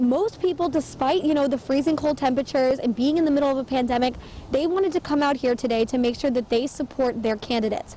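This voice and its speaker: Amid noticeable background noise, a woman talks very fast in a high voice with ordinary pitch variation. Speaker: local TV news reporter. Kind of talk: TV news reporter stand-up and live report. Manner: clear, professional, newscaster delivery.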